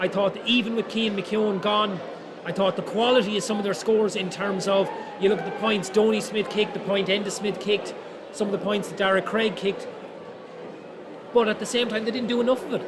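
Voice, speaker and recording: Over noticeable background noise, a man with an Irish midlands accent talks at a fairly quick pace and high pitch with monotone, flat intonation. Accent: Irish (Roscommon). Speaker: GAA match commentator. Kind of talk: post-match analysis.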